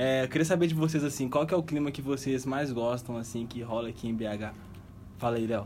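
A man speaks at a fairly quick pace in a normal speaking voice, his pitch medium with ordinary variation. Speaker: podcast host. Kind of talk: casual chat.

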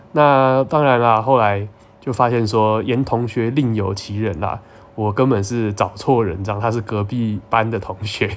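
A man with an ordinary speaking voice talks at a fairly slow pace, his medium pitch carrying fairly even intonation. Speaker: podcast host. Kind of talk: casual monologue.

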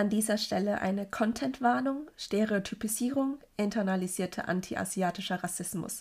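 At a moderate pace with hardly any pauses, a woman talks in a somewhat breathy, medium-pitched voice. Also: ordinary pitch variation, very clean recording, silent background. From Germany. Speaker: podcaster. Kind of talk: personal monologue.

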